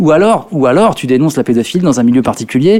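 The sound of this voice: A man's slightly mellow voice, fast-paced with lively intonation. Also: medium pitch for a man.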